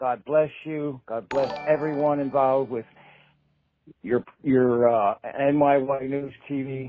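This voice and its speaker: Music plays in the background as a man talks at a very slow pace. His pitch is fairly high and his intonation fairly even. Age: 60s. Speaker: caller. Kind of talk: voicemail.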